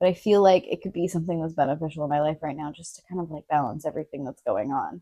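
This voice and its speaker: At a very fast pace, a woman talks in a fairly low, dark, mellow voice with ordinary pitch variation. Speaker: podcast guest. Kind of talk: casual chat.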